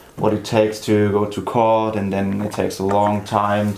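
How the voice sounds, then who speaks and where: There is noticeable background noise behind a man's fairly low voice. He talks at a moderate pace with flat, monotone intonation. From grew up in several countries, high school in Germany. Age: 20s. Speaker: law student, startup co-founder. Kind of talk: interview.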